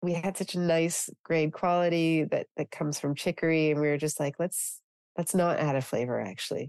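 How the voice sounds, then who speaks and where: Moderate pace and fairly even intonation in a normal speaking voice, dry and close with no echo against a quiet background. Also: woman. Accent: Canadian. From Canada. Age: 40s. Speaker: beauty entrepreneur. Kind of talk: casual interview chat. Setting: podcast interview.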